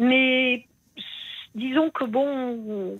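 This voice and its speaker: A woman speaks with lively intonation. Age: 60s. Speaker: radio caller. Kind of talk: phone-in testimony. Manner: halting.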